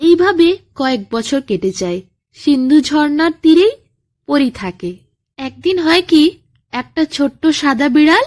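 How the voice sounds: At a fairly slow pace, a woman talks at a high pitch.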